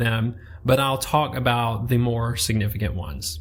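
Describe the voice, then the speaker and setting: The speaker has a Southern US accent and a somewhat breathy sound. The pace is moderate and the intonation lively. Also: man. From US South. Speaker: book podcast host. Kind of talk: book review monologue.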